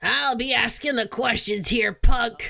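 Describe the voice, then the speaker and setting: This put-on character voice is gruff and raspy, fairly high in pitch, and delivered at a fairly slow pace. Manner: intimidating.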